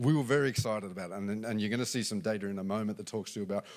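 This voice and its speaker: Lively intonation marks the speech of a man with an Australian accent. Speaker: business executive. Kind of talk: conference talk. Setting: stage with audience. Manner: halting.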